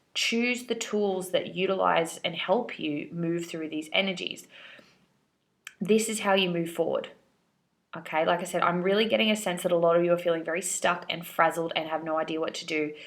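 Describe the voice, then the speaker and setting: This woman has an unremarkable speaking voice, fairly low in pitch, with ordinary pitch variation and a moderate pace. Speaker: tarot reader. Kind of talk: tarot reading. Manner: casual.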